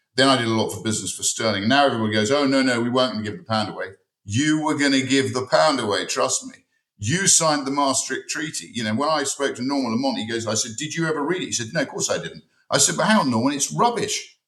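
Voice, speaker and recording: Talking very fast with an English accent, a man at medium pitch keeps his intonation lively. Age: 60s. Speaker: parliamentary candidate. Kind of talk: heated debate. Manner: animated.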